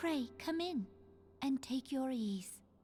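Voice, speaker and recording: A woman speaks in a put-on character voice with a high pitch. Music is clearly heard in the background. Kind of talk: formal archaic diction. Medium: video game. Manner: polite, ceremonious.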